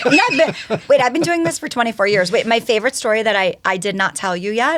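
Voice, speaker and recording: Over noticeable background noise, a woman with a New York accent talks very fast with lively intonation at a fairly high pitch. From New York (Yonkers). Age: 40s. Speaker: educator and speaker. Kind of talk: casual chat.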